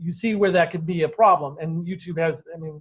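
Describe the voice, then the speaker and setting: A man talks at a fairly quick pace with a high pitch. His pitch variation is ordinary. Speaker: college course instructor. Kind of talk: classroom lecture. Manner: occasional stutter when speaking freely.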